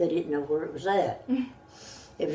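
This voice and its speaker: Against noticeable background noise, a woman with a Southern US accent speaks in a fairly low pitch. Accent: Southern American. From North Carolina. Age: 80s+. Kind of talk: interview answer.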